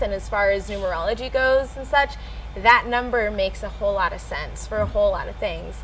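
With an American accent, a woman speaks at a moderate pace. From US South, South Carolina coast. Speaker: musician. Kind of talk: interview. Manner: halting.

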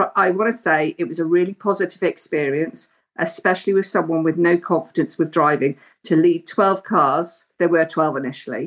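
Here is a woman with an unremarkable speaking voice. She has a fairly low pitch, ordinary pitch variation and a moderate pace. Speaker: driving instructor. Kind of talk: casual interview.

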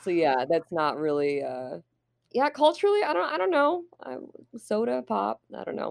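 A woman with an American accent at a moderate pace, with big swings in loudness. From Indiana, Fort Wayne. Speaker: stand-up comedian. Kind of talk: casual interview.

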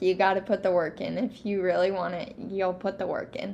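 This woman speaks with a Midwestern US accent. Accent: US Midwest. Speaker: youth livestock exhibitor. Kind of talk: casual interview.

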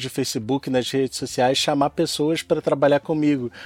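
A man with a Carioca accent is heard in a dry, close recording with no echo. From Rio de Janeiro, Brazil. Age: 30s. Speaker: science communicator, podcaster. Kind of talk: casual interview.

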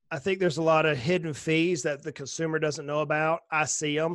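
Against a quiet background, a man with an American accent speaks in a fairly high pitch with monotone, flat intonation. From US South. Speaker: financial planner. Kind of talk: casual interview.

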